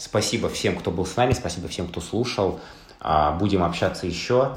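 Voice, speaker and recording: Audible room echo surrounds a man talking at a moderate pace with very wide pitch swings. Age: 30s. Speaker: podcast host. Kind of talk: casual chat.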